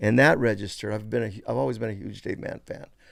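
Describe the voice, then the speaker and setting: A man talks in an American accent. The recording is very clean, with a silent background. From San Francisco Bay Area, California (Richmond). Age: 60s. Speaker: artist and toy creator. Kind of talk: casual interview chat.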